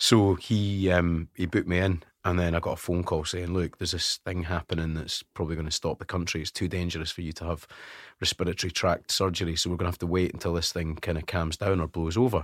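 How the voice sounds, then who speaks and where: Very fast and monotone, a man with a Scottish accent speaks in a very deep, low voice, the sound dry and close with no echo on a very clean recording with a silent background. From Scotland (West Lothian). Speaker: radio presenter. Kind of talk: casual chat. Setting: studio.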